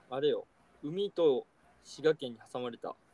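His dark, mellow tone moves in very wide pitch swings as the man speaks in a dry, close sound with no echo. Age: 20s. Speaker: podcast co-host. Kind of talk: casual chat.

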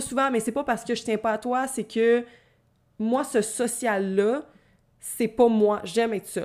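On a very clean recording with a silent background, a woman with a Quebec accent speaks at a moderate pace, her fairly high pitch showing ordinary pitch variation. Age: 20s. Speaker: podcast host. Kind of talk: casual solo monologue.

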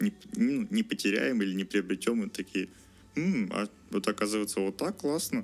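Long, frequent pauses break up the speech. Otherwise the man keeps a moderate pace. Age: 20s. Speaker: engineering student. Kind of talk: interview. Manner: halting.

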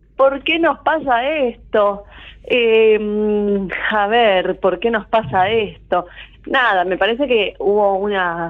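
A woman's medium-pitched voice at a very slow pace, with lively intonation. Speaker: astrologer. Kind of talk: casual radio interview.

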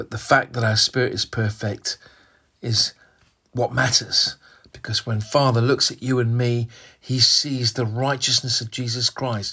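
Over a very clean recording with a silent background, a man speaks fairly slowly at a medium pitch, his tone bright and sharp and his intonation monotone and flat. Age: 60s. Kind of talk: devotional sermon monologue. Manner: hesitant, with fillers and repetitions.

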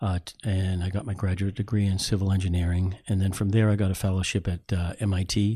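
Against a quiet background, a man with an American accent talks at a very fast pace with hardly any pauses, his very deep, low voice somewhat breathy, dark and mellow in tone, and monotone, flat in intonation. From US Northeast, Boston area. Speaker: museum collections manager. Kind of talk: interview.

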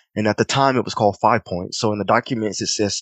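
With an American accent and fairly even intonation, a man has a plain, everyday voice, recorded with a dry, close sound with no echo. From US South, Clinton, South Carolina. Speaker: artist and creative director. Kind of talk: casual interview, personal storytelling.

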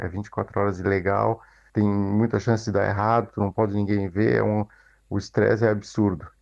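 A man's fairly low voice at a moderate pace. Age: 40s. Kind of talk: recorded testimony.

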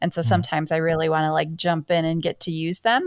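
The speaker is a woman with an Upper Midwest accent. Her pitch is fairly low. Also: dry, close sound with no echo, very clean recording, silent background. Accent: Upper Midwest American. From Michigan. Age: 30s. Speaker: teacher and podcast host. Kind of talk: casual chat.

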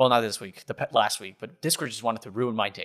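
Medium pitch from a male speaker. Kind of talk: casual chat. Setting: video call.

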